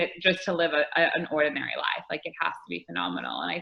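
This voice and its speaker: Fairly quick speech from a woman, fairly low in pitch. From US Midwest, Detroit, Michigan. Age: 20s. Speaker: entrepreneur and speaker. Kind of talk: casual interview chat.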